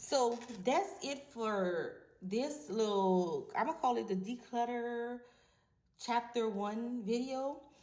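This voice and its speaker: In a room with audible echo, a woman speaks very slowly in a high pitch with lively intonation. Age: 40s. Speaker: vlogger. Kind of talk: casual monologue to camera.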